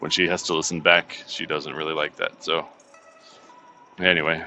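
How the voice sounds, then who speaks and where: Someone mumbles with an American accent as music plays in the background. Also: man. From United States. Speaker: vlogger and delivery driver. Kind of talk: casual vlog monologue. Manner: mumbling; fast.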